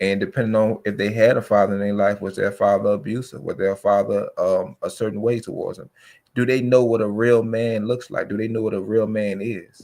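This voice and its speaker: A man's ordinary speaking voice, fairly low in pitch and fairly even in intonation, at a fairly quick pace on a very clean recording with a silent background. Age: 30s. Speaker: podcast guest. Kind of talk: casual chat.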